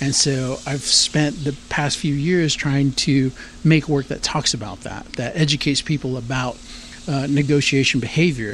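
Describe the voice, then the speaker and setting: A man's normal speaking voice with an American accent, fairly high in pitch, at a moderate pace with fairly even intonation. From San Antonio, Texas. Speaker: artist. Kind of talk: interview. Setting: outdoors.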